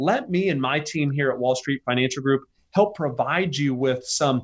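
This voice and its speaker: Here a man with an ordinary speaking voice and a fairly high pitch speaks at a moderate pace. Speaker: financial advisor. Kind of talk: radio interview, casual chat. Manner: conversational, relaxed.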